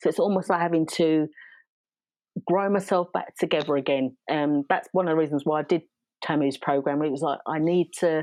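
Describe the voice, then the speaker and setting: A woman's very deep, low voice at a fairly quick pace, fairly even in intonation, with a dry, close sound, no echo and a quiet background. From South East London, England. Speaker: business coach. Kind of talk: casual podcast conversation.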